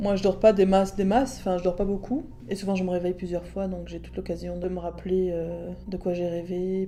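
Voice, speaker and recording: Over background music, a woman talks fairly quickly at medium pitch in a flat monotone. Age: 40s. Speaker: blind interviewee. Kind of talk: interview testimony.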